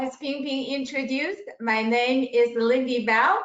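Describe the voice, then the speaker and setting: Her voice is high-pitched, with ordinary pitch variation. The woman talks at a fairly slow pace. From immigrant to the US. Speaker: financial services businesswoman. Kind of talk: webinar self-introduction.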